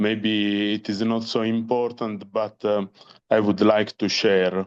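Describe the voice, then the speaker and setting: With a non-native accent, a man speaks very slowly in a fairly low pitch and monotone, flat intonation. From Italy. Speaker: parent of patient. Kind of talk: online panel discussion. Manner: halting.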